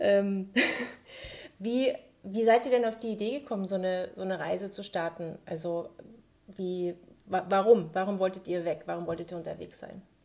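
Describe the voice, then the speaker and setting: Amid noticeable background noise, a woman speaks at a moderate pace and medium pitch with ordinary pitch variation, big swings in loudness, and long, frequent pauses. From Saxony-Anhalt, Bitterfeld. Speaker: podcast host. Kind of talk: casual interview.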